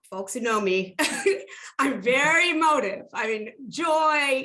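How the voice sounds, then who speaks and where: The voice is raised and projected, with an animated tone. Its pitch swings very widely. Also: woman. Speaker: film industry executive. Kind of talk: panel discussion. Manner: loud.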